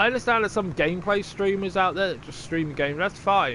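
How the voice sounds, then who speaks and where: The speaker has a Wiltshire accent. The pace is fairly quick. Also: man. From southern England, Wiltshire. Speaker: gaming streamer. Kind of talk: live gameplay stream chat. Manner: casual, chatty.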